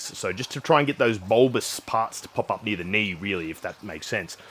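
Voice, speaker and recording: Here a man talks at a fairly quick pace. His pitch varies in an ordinary way. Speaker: fitness vlogger. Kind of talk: casual vlog chat. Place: home room.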